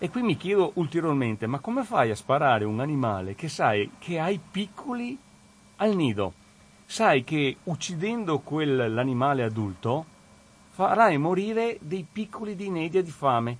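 Moving at a fairly slow pace, a man speaks in a fairly high pitch with very wide pitch swings. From Veneto, province of Treviso. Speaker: regional councillor, radio guest presenter. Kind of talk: radio talk and call-in discussion. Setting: radio studio. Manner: hesitant, many fillers.

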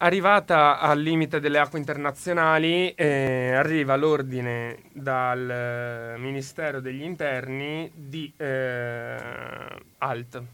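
A man's fairly high voice, very slow, with a bright, sharp tone and fairly even intonation. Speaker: university student. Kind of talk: current affairs commentary. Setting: studio.

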